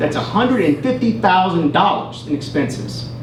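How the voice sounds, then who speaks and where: Over noticeable background noise and audible room echo, a man with a Kentucky accent speaks in a high voice with lively intonation. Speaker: school board candidate. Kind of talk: candidate forum answers. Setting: public library town hall.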